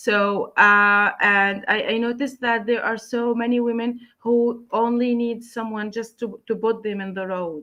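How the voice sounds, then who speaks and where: At a fairly slow pace and with a Palestinian accent, the speaker delivers a bright, sharp tone in monotone, flat intonation over a quiet background. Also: woman. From Palestine, Gaza. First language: Arabic. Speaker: writer, translator and English teacher. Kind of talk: interview. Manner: halting, many fillers and repeats.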